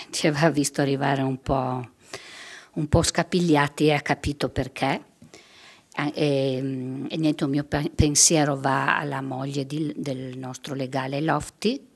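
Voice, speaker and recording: With a very deep, low pitch and fairly even intonation, a woman talks at a fairly slow pace, leaving long, frequent pauses against a quiet background. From Friuli, northeastern Italy. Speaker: victim's mother; guest. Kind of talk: testimony. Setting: stage with audience. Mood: emotional, personal concern. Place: hall. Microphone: podium.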